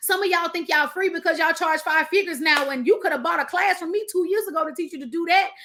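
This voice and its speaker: Very fast and raised to project, a woman's animated voice in an American accent sits at an extremely high pitch, with ordinary pitch variation and hardly any pauses. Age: 30s. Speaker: business coach. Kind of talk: motivational talk.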